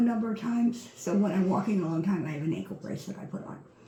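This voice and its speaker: A woman speaks at a medium pitch with lively intonation. Noticeable background noise is present. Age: 70s. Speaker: retired prison warden applying for a guide dog. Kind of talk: recorded application interview answers. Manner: halting.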